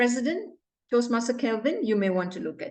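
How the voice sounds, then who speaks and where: A high-pitched woman with a non-native accent against a quiet background. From Malaysia, Johor Bahru. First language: not English. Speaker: club evaluator. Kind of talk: meeting evaluation. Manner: stern, emphatic.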